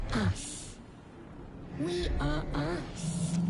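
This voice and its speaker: A cartoonish character voice at a middle pitch comes through loud background noise. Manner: speaks of itself as "we".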